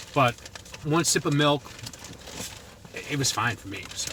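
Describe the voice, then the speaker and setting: Over noticeable background noise, a man talks with a Boston accent. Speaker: food reviewer vlogger. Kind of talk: product review vlog. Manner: casual, conversational.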